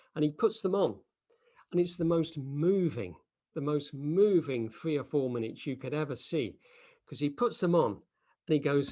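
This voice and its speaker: Speaking at a moderate pace with long, frequent pauses, a man uses lively intonation in a dark, mellow tone and a fairly high pitch. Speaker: Buddhist teacher. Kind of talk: dharma talk. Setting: video call. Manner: animated.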